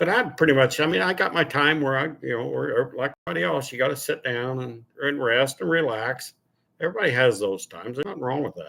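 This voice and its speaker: Speaking with vocal fry at a very fast pace, a man uses a bright, sharp tone, medium pitch and lively intonation, on a very clean recording with a silent background. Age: 60s. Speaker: car channel host. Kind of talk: casual livestream chat. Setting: live stream at home.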